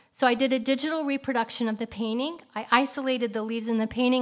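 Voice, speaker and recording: A woman speaks with an American accent at a fairly quick pace. Her pitch is high. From US Midwest, Kansas City. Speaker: artist. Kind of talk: lecture. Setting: stage with audience. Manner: fast.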